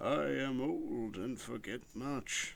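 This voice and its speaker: A man puts on a character voice at a medium pitch. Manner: crazy, quavering.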